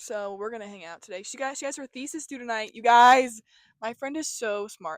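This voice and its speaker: A woman with a high pitch speaks in an animated tone with lively intonation. The recording is very clean and dry, close with no echo, over a silent background. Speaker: vlogger. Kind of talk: casual vlog chat. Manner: fast.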